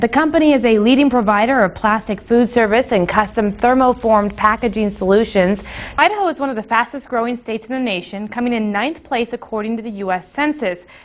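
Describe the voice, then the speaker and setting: A woman with a fairly high pitch speaks at a very fast pace with hardly any pauses. Her pitch varies in an ordinary way over noticeable background noise. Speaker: TV news anchor and reporter. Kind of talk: TV news anchor read.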